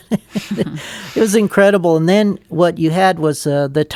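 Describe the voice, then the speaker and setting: A man speaks with ordinary pitch variation in a very clean recording with a silent background and a dry, close sound with no echo. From United States. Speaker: former SR-71 pilot and Vietnam war veteran. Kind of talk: interview answer. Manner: soft-spoken.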